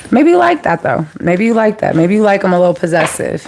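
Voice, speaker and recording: Fairly quick speech with ordinary pitch variation over noticeable background noise. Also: woman. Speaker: tarot reader. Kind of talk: live tarot reading. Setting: livestream. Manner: casual, chatty.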